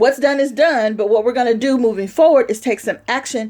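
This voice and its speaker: A loud, animated woman's voice, high in pitch, at a very fast pace. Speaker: motivational vlogger. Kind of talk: pep talk.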